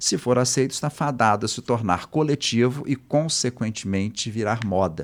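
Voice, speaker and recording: A normal speaking voice at a moderate pace, with ordinary pitch variation and hardly any pauses. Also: man, medium pitch for a man. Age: 60s. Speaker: fashion history professor. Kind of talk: interview.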